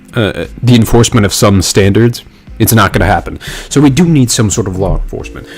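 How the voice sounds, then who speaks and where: A man at a fairly quick pace with noticeable background noise. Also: fairly low pitch for a man, ordinary pitch variation. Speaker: political commentary streamer. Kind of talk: live stream commentary. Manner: fast.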